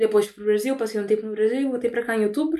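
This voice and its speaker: This woman's voice sits at a fairly high pitch. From Brazil, Belém (Pará). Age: 20s. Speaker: recent communication sciences graduate. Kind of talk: casual chat.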